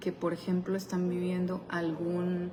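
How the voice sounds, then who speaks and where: Soft-spoken and fairly low-pitched, a woman talks amid noticeable background noise and audible room echo. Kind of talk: devotional talk.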